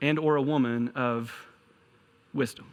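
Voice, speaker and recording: On a very clean recording with a silent background, a man speaks with a Kentucky accent. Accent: Kentucky accent, noticeable. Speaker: pastor. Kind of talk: sermon.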